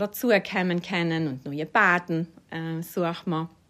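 The recording is very clean, its background silent. A woman's voice comes through with a bright, sharp tone. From South Tyrol (Überetsch). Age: 40s. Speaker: administrative staff member. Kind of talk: interview.

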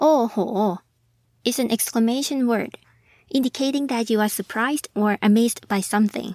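A woman with a fairly high pitch and a dark, mellow tone speaks at very even loudness with ordinary pitch variation, in a very clean recording with a silent background and a dry, close sound with no echo. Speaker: language teacher podcast host. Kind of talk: language lesson.

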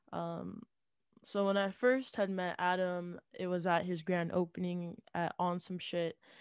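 With a normal speaking voice and an American accent, a woman talks at a fairly low pitch and a fairly slow pace, her intonation fairly even, in a dry, close sound with no echo. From Salt Lake City, Utah. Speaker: rapper. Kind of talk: casual chat.

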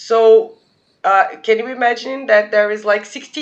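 With a Portuguese accent, a woman speaks at a fairly high pitch with ordinary pitch variation. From Brazil, São Paulo. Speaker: podcast guest. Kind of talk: casual chat.

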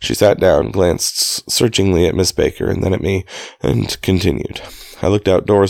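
Natural voice, reading

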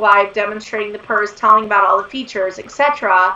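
At a fairly quick pace, a woman speaks with a bright, sharp tone.

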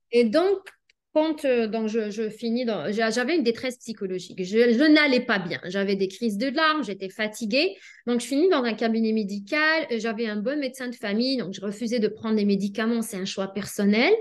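The speaker has an unremarkable speaking voice. The pace is moderate. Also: woman, fairly high pitch for a woman, lively intonation. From Algeria. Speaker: pharmacist and life coach. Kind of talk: interview.

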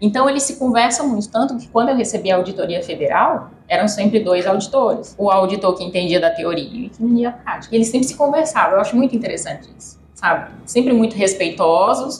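A woman talks very fast at a fairly high pitch, with lively intonation and hardly any pauses. Her loudness swings a lot, and there is noticeable background noise. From Brazil, Piauí (Teresina). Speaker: veterinarian and food quality consultant. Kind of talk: casual interview chat.

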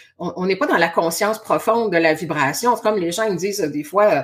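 A woman with a Quebec accent talks in an energetic tone. Her pace is fairly quick, with ordinary pitch variation. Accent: Québécois French. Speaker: spiritual coach and hypnotherapist. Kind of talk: casual interview chat.

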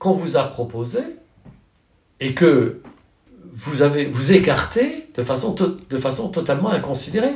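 The man's pitch swings very widely as he talks at a very slow pace. Room echo is audible. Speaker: professor of political philosophy. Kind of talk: interview. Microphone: poor sound quality.

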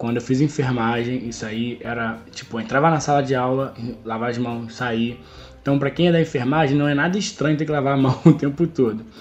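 Music plays behind a man talking at a fairly quick pace. His pitch is medium, with ordinary variation. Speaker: nurse, health worker and podcast host. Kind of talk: casual chat interview.

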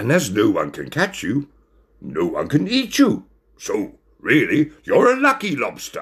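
This recording features a natural reading voice.

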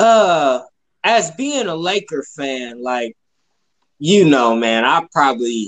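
This man talks at a very slow pace with ordinary pitch variation. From Ohio, Youngstown. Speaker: podcast guest, basketball fan. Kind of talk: casual chat.

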